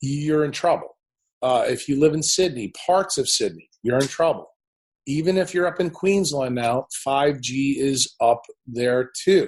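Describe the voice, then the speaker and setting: With an American accent, a man speaks fairly slowly in a fairly high pitch, somewhat breathy, with ordinary pitch variation. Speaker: neurosurgeon and health speaker. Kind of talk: podcast interview. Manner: opinionated, forceful.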